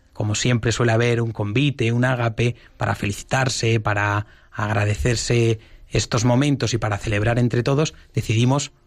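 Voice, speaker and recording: Somewhat breathy and medium-pitched, a man speaks fairly slowly with fairly even intonation. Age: 20s. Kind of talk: radio interview.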